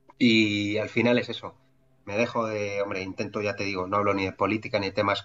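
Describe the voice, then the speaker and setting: Speaking with a Madrid accent, a man uses a fairly low pitch at a fairly quick pace. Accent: Castilian Spanish (Madrid). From Madrid, Spain. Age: 40s. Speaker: entrepreneur. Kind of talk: interview conversation. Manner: halting, many fillers and repetitions.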